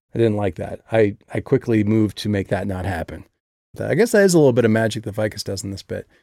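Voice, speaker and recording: Someone with a Midwestern American accent talks very fast in a dark, mellow tone, with ordinary pitch variation and big swings in loudness. The recording is very clean, with a silent background. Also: man, fairly low pitch for a man. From US Midwest. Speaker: author discussing his own audiobook. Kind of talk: casual monologue.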